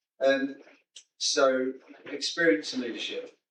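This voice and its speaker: A man with a British accent. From UK. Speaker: military veteran, audience member. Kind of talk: audience question. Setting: conference hall with audience.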